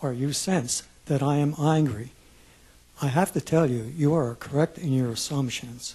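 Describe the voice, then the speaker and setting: Somewhat breathy and dark, mellow in tone, a man speaks at a fairly high pitch with ordinary pitch variation. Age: 70s. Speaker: retiree, public commenter. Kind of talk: public testimony. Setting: public hearing room with audience.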